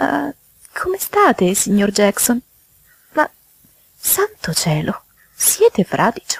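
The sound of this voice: A woman's put-on character voice with vocal fry, a slightly husky edge, very wide pitch swings and a very slow pace, dry and close with no echo. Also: medium pitch for a woman.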